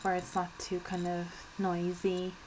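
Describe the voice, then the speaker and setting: A woman speaks with an Irish accent. Noticeable background noise can be heard. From Ireland. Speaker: beauty vlogger. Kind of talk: casual vlog talk. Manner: soft-spoken; fidgety, hesitant with many ums.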